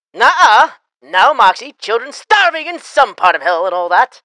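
A put-on character voice at a moderate pace, fairly high in pitch, with very wide pitch swings. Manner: upbeat.

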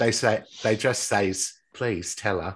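With an English accent, a man does a raspy put-on character voice, pitched fairly low with fairly even intonation.

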